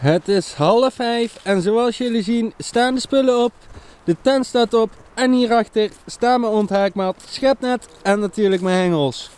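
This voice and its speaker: A man talks at a very slow pace in a high voice with ordinary pitch variation. The sound is dry, with no echo. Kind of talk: casual vlog chat. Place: waterside. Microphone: phone near.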